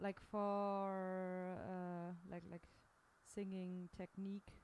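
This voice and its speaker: A woman speaking at a very slow pace. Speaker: singer. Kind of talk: casual chat about a song.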